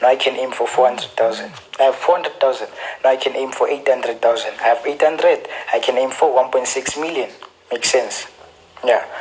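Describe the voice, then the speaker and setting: With noticeable background noise behind him, a man with a South African accent speaks at a very fast pace. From South Africa, Gauteng. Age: 20s. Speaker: forex trader. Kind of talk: casual advice talk / Q&A. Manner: repetitive, stammering restarts.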